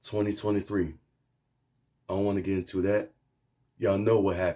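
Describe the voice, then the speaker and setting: A man with a dark, mellow tone and fairly low pitch talks at a fairly quick pace, keeping very even loudness and fairly even intonation. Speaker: sports fan vlogger. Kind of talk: casual video review.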